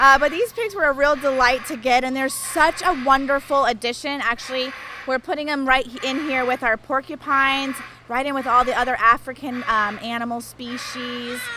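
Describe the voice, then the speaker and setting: A woman's high, raised and projected voice at a moderate pace, with fairly even intonation and noticeable background noise. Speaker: big cat sanctuary staff, family member of owners. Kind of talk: casual interview on a tour.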